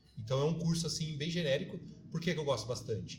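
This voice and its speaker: A man with a fairly high pitch talks fairly quickly over music in the background, with audible room echo. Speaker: teacher and city councillor. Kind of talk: podcast interview.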